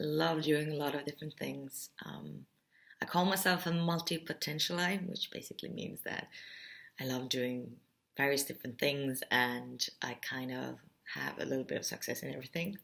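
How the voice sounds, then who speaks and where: With an Estonian accent, a woman talks at a moderate pace. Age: 30s. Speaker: artist. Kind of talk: explainer video talk. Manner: bubbly.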